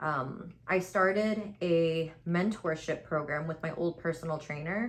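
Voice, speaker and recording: A woman's fairly low voice at a fairly slow pace. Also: ordinary pitch variation. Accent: American. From New York City (Queens). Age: 20s. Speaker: beauty content creator. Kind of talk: casual chat with makeup tutorial. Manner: tries to speak properly, self-described as robotic.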